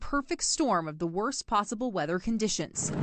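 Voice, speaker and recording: With lively intonation and an ordinary speaking voice, a woman talks at a fairly quick pace. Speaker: TV news reporter. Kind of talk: TV news report.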